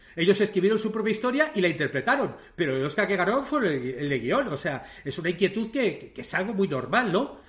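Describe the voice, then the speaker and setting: Pitched high, a man talks at a fairly quick pace with very wide pitch swings. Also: hardly any pauses. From Spain, Madrid. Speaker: screenwriter and playwright. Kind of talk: interview.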